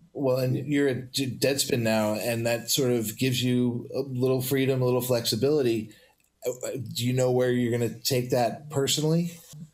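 A man speaks at medium pitch and a moderate pace, his intonation monotone and flat. His loudness stays very even, and the room echo is audible. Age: 50s. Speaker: podcast host. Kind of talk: casual chat. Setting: studio.

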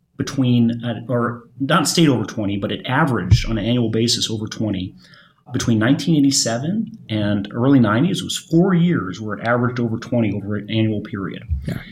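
A somewhat breathy man with an American accent, medium pitch, moderate pace and lively intonation, with audible room echo. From Michigan. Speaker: volatility fund manager. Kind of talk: panel discussion. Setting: studio at a conference. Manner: repeats words, halting.

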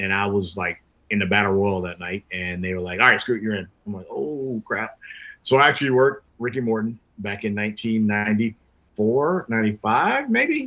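This is a plain, everyday voice with an American accent. It moves at a moderate pace. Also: man. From US South, Jacksonville, Florida. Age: 50s. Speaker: professional wrestler. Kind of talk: casual interview.

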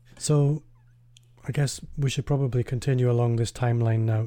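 Calm and somewhat breathy, a man's dark, mellow voice of medium pitch keeps fairly even intonation at a moderate pace. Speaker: podcast host. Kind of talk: interview.

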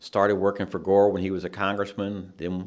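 A man with an American accent, very deep and low in pitch, at a moderate pace. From US South, Nashville, Tennessee. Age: 60s. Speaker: judicial candidate, criminal defense attorney. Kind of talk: interview.

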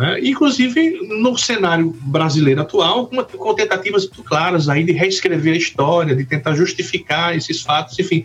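A high-pitched man with lively intonation, over noticeable background noise. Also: moderate pace. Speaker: law professor. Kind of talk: academic discussion.

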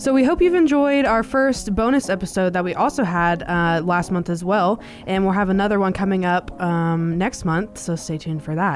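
Speaking in a plain, everyday voice, a woman keeps a medium pitch and lively intonation, talking at a moderate pace with hardly any pauses. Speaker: podcast co-host. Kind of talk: scripted intro and casual chat.

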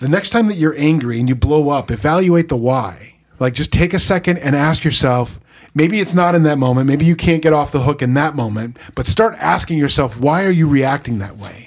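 Using a plain, everyday voice, a man speaks at a fairly high pitch and a fairly quick pace with lively intonation. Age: 50s. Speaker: pastor. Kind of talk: casual chat.

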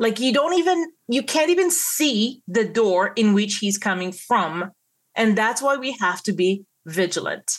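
A woman's fairly high voice with an Israeli accent, very wide pitch swings, a fairly slow pace and a quiet background. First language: Hebrew. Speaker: Messianic believer sharing a vision. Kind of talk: testimony. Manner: halting.

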